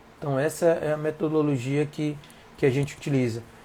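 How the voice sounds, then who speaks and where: Fairly quick and somewhat breathy, a man with a fairly high pitch and a dark, mellow tone keeps his intonation fairly even. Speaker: shrimp farming teacher. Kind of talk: live stream chat. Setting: live Instagram stream.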